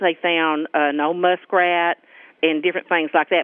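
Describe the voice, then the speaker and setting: A woman speaks with a Southern US accent. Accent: rural Southern US. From US South, central Arkansas. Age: 50s. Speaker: local resident. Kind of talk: interview.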